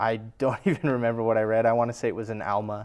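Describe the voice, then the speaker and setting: With an American accent, a man speaks in a flat monotone. The background is quiet. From California, San Jose area. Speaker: church member sharing faith story. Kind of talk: testimony.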